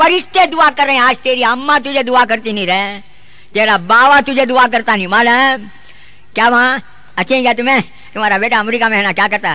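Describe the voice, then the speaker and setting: A man speaks with a Deccani accent in a raised, projected voice. His tone is bright and sharp. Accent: Deccani Urdu. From South India. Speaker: Islamic preacher. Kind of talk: religious sermon. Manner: humorous, emphatic.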